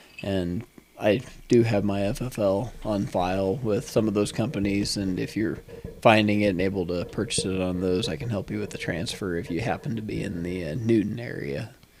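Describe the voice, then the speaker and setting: Against noticeable background noise, a man with a fairly low pitch speaks at a moderate pace with ordinary pitch variation. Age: 40s. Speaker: entrepreneur and engineer, firearms dealer. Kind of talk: podcast interview. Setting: podcast recording. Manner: articulate.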